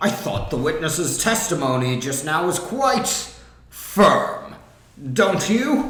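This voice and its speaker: A man does a put-on character voice at a high pitch with very wide pitch swings. His pace is very slow, and there is a slight echo. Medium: fan dub. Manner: formal, deliberate.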